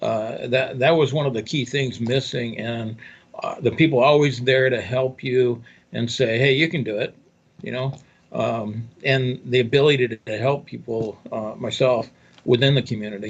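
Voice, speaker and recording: Somewhat breathy, a man keeps a moderate pace and fairly even intonation. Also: medium pitch for a man. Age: 60s. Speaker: newspaper owner and affiliate marketer. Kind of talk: interview. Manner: halting.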